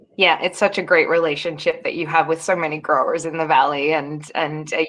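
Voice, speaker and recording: A fairly quick woman's voice, fairly low in pitch, with monotone, flat intonation and an Australian accent. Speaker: wine expert and panel moderator. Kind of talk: webinar panel discussion. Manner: hesitant, many fillers.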